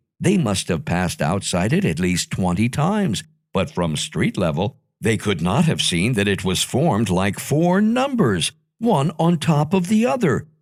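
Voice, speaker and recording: In a very clean recording with a silent background, a man at medium pitch speaks at a moderate pace with vocal fry, very wide pitch swings and very even loudness. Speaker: audiobook narrator. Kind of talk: children's audiobook reading.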